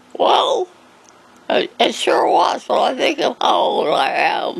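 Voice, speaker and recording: The speech moves at a very slow pace with very even loudness, over noticeable background noise. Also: woman. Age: 80s+. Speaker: elderly woman telling life story. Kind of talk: interview. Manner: halting.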